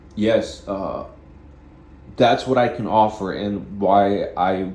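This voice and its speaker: Dark, mellow tone and fairly even intonation, with audible room echo. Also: man. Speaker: vlogger. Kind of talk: casual monologue. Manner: halting, with repeated words.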